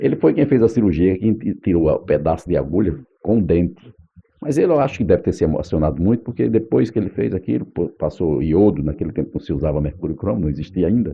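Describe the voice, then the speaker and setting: A man with a very deep, low pitch, vocal fry, very wide pitch swings and a very fast pace. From Northeast Brazil, Paraíba (Patos, Campina Grande). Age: 60s. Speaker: radio announcer. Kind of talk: oral history interview.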